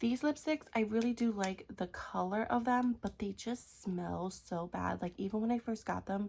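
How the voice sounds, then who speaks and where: The woman's voice is somewhat breathy. Her pitch varies in an ordinary way. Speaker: beauty vlogger. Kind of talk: casual vlog talk.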